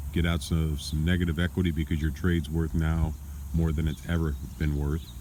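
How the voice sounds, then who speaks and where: With a very deep, low pitch and a dark, mellow tone, a man talks at a fairly quick pace, somewhat breathy, in monotone, flat intonation. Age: 60s. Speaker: former car salesman, vlogger. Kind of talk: casual vlog monologue. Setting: outdoors in backyard. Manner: casual, with many fillers.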